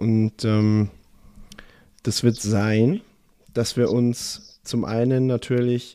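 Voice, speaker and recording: Fairly even in intonation, a man's medium-pitched voice with a dark, mellow tone comes through on a very clean recording with a silent background. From southern Germany. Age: 20s. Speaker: podcast host, professional footballer. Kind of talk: casual chat.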